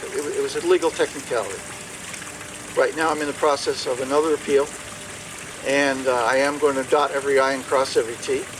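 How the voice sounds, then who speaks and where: Despite a very fast pace, a man leaves long, frequent pauses, with noticeable background noise behind him. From Maine. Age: 60s. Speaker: political candidate. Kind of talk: question and answer session. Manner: halting, many repetitions and fillers.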